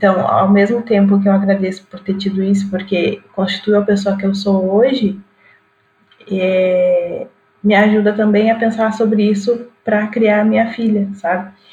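In a monotone, flat intonation, a woman talks at a fairly slow pace. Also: medium pitch for a woman. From Rio Grande do Sul, Brazil. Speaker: digital influencer and physics teacher. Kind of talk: casual chat.

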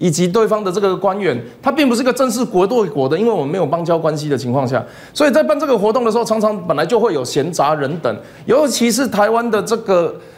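A man's high-pitched voice at a very fast pace, with very wide pitch swings and audible room echo. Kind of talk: TV political talk show discussion. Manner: repetitive fillers and self-corrections.

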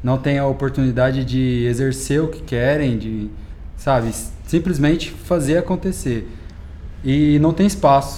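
With a normal speaking voice, a man talks at a fairly slow pace and a fairly high pitch. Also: ordinary pitch variation. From Minas Gerais, Brazil (Uberlândia). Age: 20s. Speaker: DJ. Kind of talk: casual interview.

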